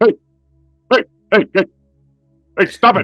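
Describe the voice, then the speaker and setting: A man's put-on character voice, high in pitch. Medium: actual play. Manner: hesitant, halting.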